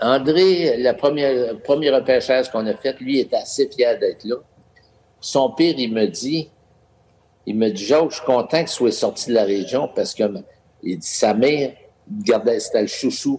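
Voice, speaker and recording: A man with a dark, mellow tone and a fairly high pitch talks at a fairly slow pace, with long, frequent pauses. His intonation is lively. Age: 70s. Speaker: hockey team owner and businessman. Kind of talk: casual interview.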